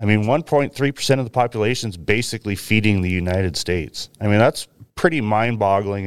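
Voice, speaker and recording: A man's plain, everyday voice, a plain, everyday voice, fairly low with an American accent, ordinary pitch variation, a fairly quick pace, hardly any pauses, and a dry, close sound with no echo. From US Pacific Northwest, Willamette Valley, Oregon. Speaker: cattle rancher. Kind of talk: interview.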